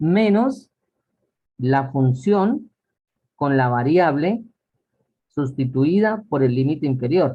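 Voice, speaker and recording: A man's somewhat breathy, fairly high voice with lively intonation at a very slow pace. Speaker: math teacher. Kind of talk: lecture.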